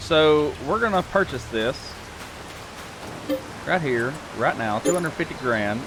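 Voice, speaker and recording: A man with a fairly high pitch speaks at a fairly slow pace over background music, with long, frequent pauses and very wide pitch swings. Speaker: gaming video creator. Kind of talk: casual gameplay commentary.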